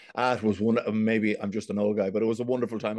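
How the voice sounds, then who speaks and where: A man with a Dublin accent, fairly low in pitch and monotone, flat in intonation, in a dry, close sound with no echo. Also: quiet background. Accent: Dublin Irish. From Dublin, Ireland. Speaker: business executive. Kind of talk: casual interview chat.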